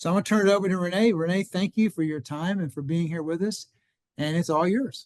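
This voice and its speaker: At a very fast pace, a man talks in a high pitch with ordinary pitch variation and a dry, close sound with no echo. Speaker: garden club meeting host. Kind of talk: speaker introduction.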